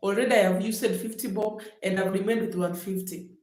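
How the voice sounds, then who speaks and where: A woman speaks with a Kenyan accent and fairly even intonation. Audible room echo surrounds her voice. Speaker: vlogger. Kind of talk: livestream storytelling. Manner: casual, chatty.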